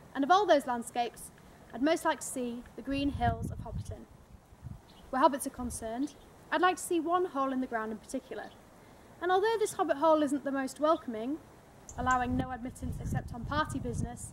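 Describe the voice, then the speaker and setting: A woman with a Yorkshire accent and a high pitch talks at a very fast pace with lively intonation, broken by long, frequent pauses. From Yorkshire, northern England. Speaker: fan making a contest entry video. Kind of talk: scripted narration.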